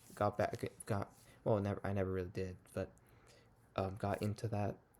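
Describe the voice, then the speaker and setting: Quietly, a man speaks at a moderate pace in a fairly low pitch with a dark, mellow tone. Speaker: young church service missionary vlogger. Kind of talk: casual vlog monologue. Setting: at home at night. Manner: quiet, low volume; hesitant, many fillers.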